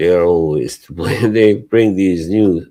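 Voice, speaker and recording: A man with a non-native accent speaks at a very deep, low pitch and a fairly slow pace. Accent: noticeable foreign. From Bosnia and Herzegovina. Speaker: livestream co-host. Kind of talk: casual chat. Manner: halting.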